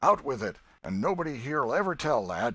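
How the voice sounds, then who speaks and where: A man's raspy, put-on character voice at medium pitch, with very wide pitch swings and a fairly quick pace. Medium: read story. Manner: gruff, direct.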